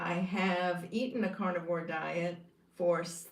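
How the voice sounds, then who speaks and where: A woman speaks very slowly in a flat monotone, her pitch fairly low. Audible room echo and noticeable background noise fill the recording. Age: 70s. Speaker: YouTuber sharing carnivore diet experience. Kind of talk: casual livestream monologue. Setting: live stream reading comments. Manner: hesitant with fillers.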